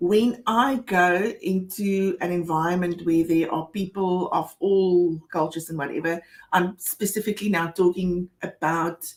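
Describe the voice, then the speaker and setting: A woman in a South African accent, fairly low in pitch with fairly even intonation, at a fairly slow pace with hardly any pauses. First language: Afrikaans. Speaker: co-host of a financial advice show. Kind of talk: casual chat.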